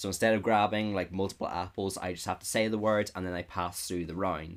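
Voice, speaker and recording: A man speaks with a British accent at a fairly low pitch. The recording is very clean, with a silent background. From United Kingdom. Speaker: YouTuber analysing a reality game. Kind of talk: commentary breakdown of a video. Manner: casual, filler-heavy.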